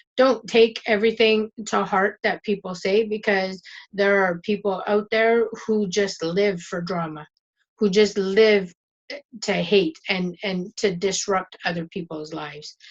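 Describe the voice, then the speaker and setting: A woman talks at a fairly slow pace, her intonation fairly even. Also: medium pitch for a woman. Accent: French Canadian. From Northern Ontario, Canada. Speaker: YouTuber, internet marketer. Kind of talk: casual motivational vlog talk. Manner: stumbles, repeats words, says 'and' a lot.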